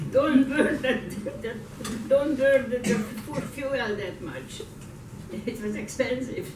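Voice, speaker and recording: Amid noticeable background noise, a woman speaks high and very slowly, with ordinary pitch variation, long and frequent pauses, and big swings in loudness. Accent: Hungarian. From Hungary. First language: Hungarian. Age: 80s+. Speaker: Holocaust survivor. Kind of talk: conference talk, personal testimony.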